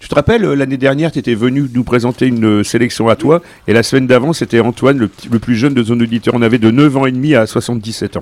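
A man talks at a very fast pace, with a dry, close sound and no echo. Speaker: radio host. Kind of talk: casual chat.

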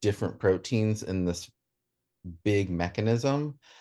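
A man with an ordinary speaking voice talks in an American accent at a fairly low pitch. His pace is moderate, and the background is quiet. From US South, Shenandoah Valley, Virginia. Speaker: chemistry graduate student. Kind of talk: radio interview.

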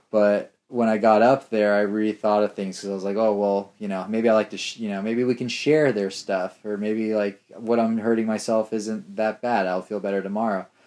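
A man with an American accent, fairly low in pitch, in a flat monotone. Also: moderate pace, hardly any pauses. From Southern California (Los Angeles). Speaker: artist and video editor. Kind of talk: casual interview chat.

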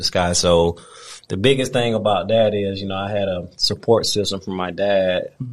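Over a quiet background, a man with an unremarkable speaking voice talks at a fairly low pitch, with fairly even intonation and big swings in loudness. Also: moderate pace. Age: 30s. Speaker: football coach and trainer, retired pro player. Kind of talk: casual interview.

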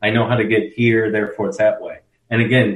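The man's voice is somewhat breathy and medium in pitch. His intonation stays fairly even. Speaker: history professor. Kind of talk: casual interview explaining history.

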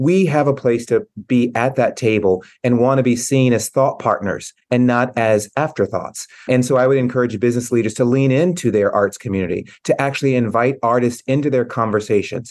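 In an American accent and a plain, everyday voice, the speaker goes at a fairly quick pace with hardly any pauses, very even loudness and ordinary pitch variation. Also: man, medium pitch for a man. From US South, Tennessee. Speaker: arts executive. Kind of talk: interview.

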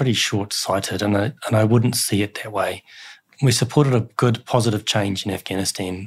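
Somewhat breathy and fairly low in pitch, a man speaks with a New Zealand accent. His intonation is fairly even. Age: 40s. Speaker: military chaplain. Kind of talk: interview testimony.

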